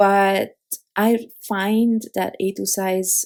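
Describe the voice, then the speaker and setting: The speaker has a non-native accent. The intonation is monotone and flat. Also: woman. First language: not English. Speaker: card-making crafter. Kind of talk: tutorial. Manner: halting, many fillers.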